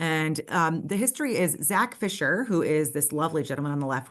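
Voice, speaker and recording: This woman speaks with an American accent and a very deep, low pitch. Her pace is fairly quick. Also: quiet background. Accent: New York accent, tamed when presenting. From New York City, Brooklyn. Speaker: nonprofit representative. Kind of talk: presentation. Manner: hesitant, many fillers.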